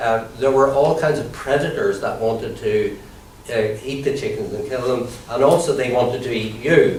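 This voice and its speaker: Over noticeable background noise, a man with an Irish accent talks at a moderate pace. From Ireland. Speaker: comedian and comedy trainer. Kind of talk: improvised mock lecture.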